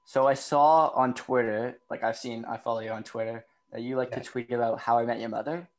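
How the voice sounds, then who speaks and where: At a fairly quick pace, a man with a Canadian accent, medium pitch, and a normal speaking voice talks over a quiet background. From Canada. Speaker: podcast host. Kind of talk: casual interview. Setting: video call.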